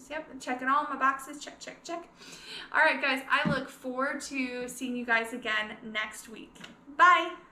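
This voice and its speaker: A woman's raised, projected voice sits high in pitch with ordinary pitch variation and big swings in loudness, amid noticeable background noise and audible room echo. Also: fairly slow pace. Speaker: scrapbooking consultant and video creator. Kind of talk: casual tutorial vlog. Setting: living room at home.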